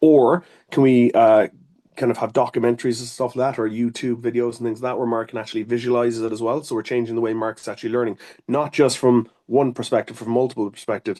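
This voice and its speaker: With an Irish accent, a man talks very fast at a medium pitch, his dark, mellow tone held in a monotone, flat intonation. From Ireland. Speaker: occupational therapist. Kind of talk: interview. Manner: hesitant, many fillers.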